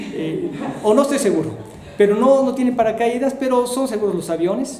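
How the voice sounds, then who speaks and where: A man's extremely high voice, lively in intonation and fairly quick in pace, with audible room echo and noticeable background noise. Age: 60s. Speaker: missionary. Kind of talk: testimony. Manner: halting.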